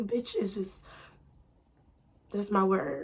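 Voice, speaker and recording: A woman speaks in an animated tone that is somewhat breathy. Her pitch variation is ordinary. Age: 20s. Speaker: storytime youtuber. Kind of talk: casual storytime monologue.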